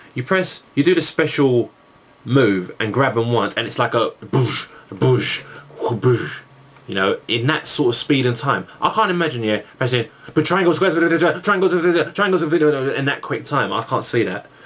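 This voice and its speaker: With a Cockney accent, a man speaks at a fairly slow pace, his fairly high pitch moving in very wide swings. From England, East London. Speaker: YouTuber, gamer and music producer. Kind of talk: video Q&A, casual chat. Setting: recording at home at night with night shot camera. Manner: halting, many fillers.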